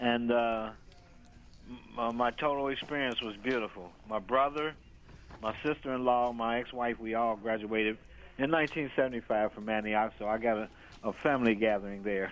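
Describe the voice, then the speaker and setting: A man talks with fairly even intonation at a medium pitch and a moderate pace. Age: 60s. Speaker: alumnus caller. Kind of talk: call-in question. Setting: phone call. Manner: halting, repeats words.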